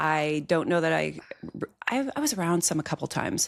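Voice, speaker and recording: A woman speaks at a very fast pace in a very deep, low pitch, with vocal fry. Her intonation is lively. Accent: American. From US Midwest (Iowa). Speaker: agribusiness insurance leader, podcast guest. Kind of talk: casual chat.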